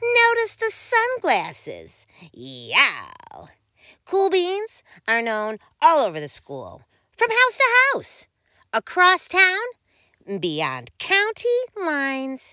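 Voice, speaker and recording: Using an extremely high pitch, a woman speaks at a very slow pace with long, frequent pauses and big swings in loudness. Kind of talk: bedtime story. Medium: read story. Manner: gentle, expressive read-aloud.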